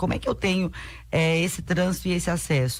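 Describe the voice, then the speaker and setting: The voice is somewhat breathy and moves at a moderate pace. Its intonation is flat and monotone. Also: woman. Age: 30s. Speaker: city councillor, politician. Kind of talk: radio interview.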